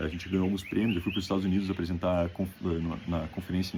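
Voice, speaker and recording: In a very deep, low, somewhat breathy voice, a man speaks at a fairly quick pace with monotone, flat intonation. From Brazil, Rio Grande do Sul (Novo Hamburgo). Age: 20s. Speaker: graduate student. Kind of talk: self-presentation video for an application.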